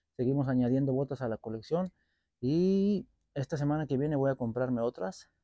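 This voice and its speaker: This man's tone is dark and mellow, and he keeps a moderate pace. The sound is dry with no echo, over a quiet background. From Mexico. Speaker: boot collector and repair youtuber. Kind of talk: product review vlog. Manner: casual, halting with repetitions. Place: garden. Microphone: lapel.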